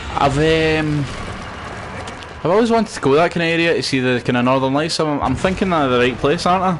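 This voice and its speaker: A man with a Scottish accent talks very fast at a fairly high pitch, with ordinary pitch variation and very even loudness. Audible room echo and noticeable background noise are present. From Scotland, West Coast. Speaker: gaming streamer. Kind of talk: live gameplay commentary. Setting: live stream. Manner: animated.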